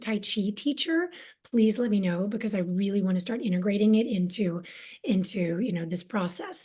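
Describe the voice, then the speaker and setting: A woman speaks with a somewhat breathy, fairly high voice and a dark, mellow tone. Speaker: spiritual wellness teacher. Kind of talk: online masterclass talk. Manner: fast; animated.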